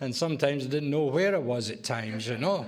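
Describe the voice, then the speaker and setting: A man with a Scottish accent and a fairly high pitch speaks at a moderate pace with lively intonation, with audible room echo and noticeable background noise. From Scotland. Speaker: AA speaker, recovering alcoholic. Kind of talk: testimony. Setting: AA meeting with audience.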